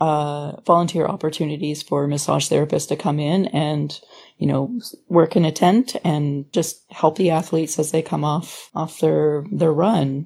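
With a Canadian accent, a woman talks in a calm tone at a fairly slow pace, her very deep, low pitch carrying a dark, mellow tone and ordinary pitch variation. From Ontario, Canada (Sarnia area, Thunder Bay). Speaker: massage therapist and classical singer. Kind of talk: casual interview. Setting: video call.

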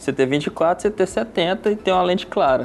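A man at a high pitch, moderate pace and lively intonation, with noticeable background noise. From Brazil, Birigui area (São Paulo state). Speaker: wedding videographer. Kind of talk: casual interview chat.

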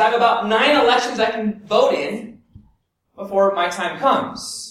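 An American-accented man speaks at a moderate pace with ordinary pitch variation and an extremely high pitch. Audible room echo surrounds his voice. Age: 40s. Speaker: pastor. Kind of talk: sermon.

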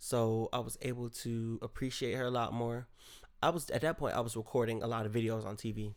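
A man at medium pitch with a fairly quick pace. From Rochester, New York. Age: 20s. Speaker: podcast host. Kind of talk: casual solo monologue. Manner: rambling, animated.

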